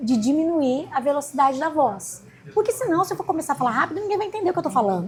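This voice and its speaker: Talking very fast, a woman with a high voice swings very widely in pitch. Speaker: law professor and lawyer. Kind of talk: interview.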